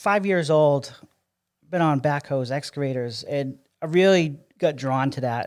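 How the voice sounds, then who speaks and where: This man talks with an American accent. His pitch rises and falls in an ordinary way. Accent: Massachusetts accent noticed by Texans. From Massachusetts, US Northeast. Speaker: city public works director. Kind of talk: podcast interview. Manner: conversational with many fillers.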